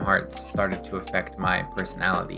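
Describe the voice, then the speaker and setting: The voice moves at a moderate pace with music playing in the background. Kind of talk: scripted video essay narration.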